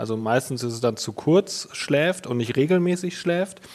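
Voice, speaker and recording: At a moderate pace, a man with a fairly high pitch and ordinary pitch variation talks over noticeable background noise. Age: 30s. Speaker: mattress company co-founder, sleep expert. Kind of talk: interview.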